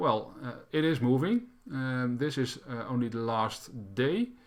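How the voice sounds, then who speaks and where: A man with a Dutch accent and lively intonation. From Netherlands. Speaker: crypto YouTuber. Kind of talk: tutorial. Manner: halting.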